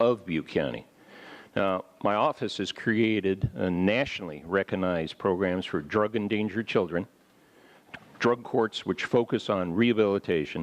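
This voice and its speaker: Over a quiet background, an ordinary speaking voice in an American accent moves at a moderate pace with ordinary pitch variation. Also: man. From US, northern California. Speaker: district attorney, candidate. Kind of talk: campaign opening statement. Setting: public forum, live broadcast.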